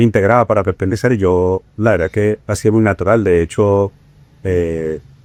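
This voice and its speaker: With a Venezuelan accent, a man speaks at a moderate pace with a fairly low pitch. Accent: Venezuelan accent, kept. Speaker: bookseller. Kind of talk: podcast interview.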